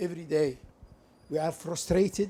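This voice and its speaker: A dark, mellow tone in an Arabic accent, with fairly even intonation. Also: man. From Libya, Benghazi. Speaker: audience member asking a question. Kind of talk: audience question at public lecture. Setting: lecture hall, speaking into audience microphone.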